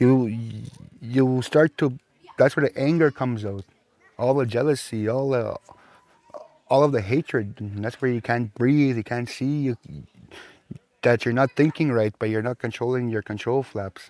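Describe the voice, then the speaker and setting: With fairly even intonation and long, frequent pauses, a man speaks in a dry, close sound with no echo. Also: medium pitch for a man, moderate pace. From Saskatchewan First Nations reserve, Canada. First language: Plains Cree. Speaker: Cree language and culture teacher. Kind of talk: interview.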